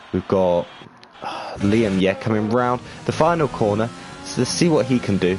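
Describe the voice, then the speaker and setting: Against noticeable background noise, a man with a fairly low pitch and lively intonation talks at a moderate pace, pausing long and often. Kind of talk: live commentary.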